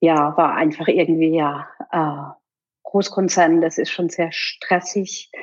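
A woman talks very slowly in a fairly low, monotone voice with flat intonation. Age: 50s. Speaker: relaxation educator for children, former IT employee. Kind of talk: casual interview.

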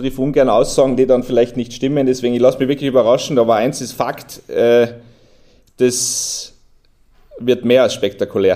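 A man with a dark, mellow tone talks at a moderate pace in a flat monotone, leaving long, frequent pauses. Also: medium pitch for a man. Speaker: motorsport series manager. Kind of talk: casual interview.

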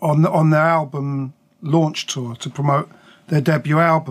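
At a fairly slow pace, a man with a southern English accent speaks in a fairly high pitch with fairly even intonation. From southern England, Buckinghamshire. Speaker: record label founder and producer. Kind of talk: interview. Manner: hesitant, many fillers.

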